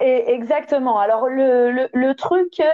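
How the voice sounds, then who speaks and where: The speaker is a woman. Her pitch sits high. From southern France. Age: 30s. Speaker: stripper. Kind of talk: interview testimony. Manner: hesitant, many fillers.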